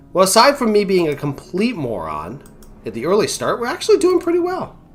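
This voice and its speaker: Music plays in the background as the speaker talks in a relaxed tone at a moderate pace. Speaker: gaming streamer. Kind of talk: live gameplay commentary. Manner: casual, relaxed.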